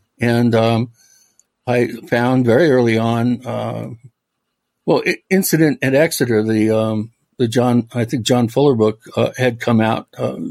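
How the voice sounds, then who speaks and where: With an American accent, a man at a medium pitch speaks with fairly even intonation and long, frequent pauses. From US Pacific Northwest, Washington State (Medina, near Bellevue). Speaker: author and paranormal researcher. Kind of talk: casual interview.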